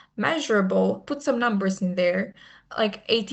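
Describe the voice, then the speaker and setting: Medium in pitch, a woman's voice comes across somewhat breathy. She keeps a moderate pace with ordinary pitch variation. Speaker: student trainer in a medical students' association. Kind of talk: online training presentation.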